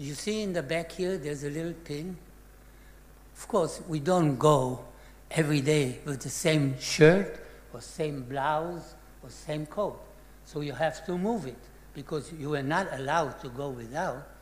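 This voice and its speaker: Fairly slow speech in a Czech accent. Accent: Czech-born, non-native English. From Czechoslovakia, Sudetenland. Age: 80s+. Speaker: Holocaust survivor. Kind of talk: testimony.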